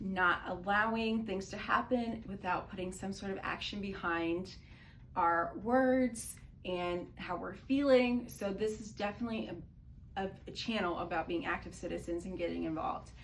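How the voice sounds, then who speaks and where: This woman has an unremarkable speaking voice at a medium pitch. She speaks at a moderate pace with ordinary pitch variation. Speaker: political commentary vlogger. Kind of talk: casual talk to camera.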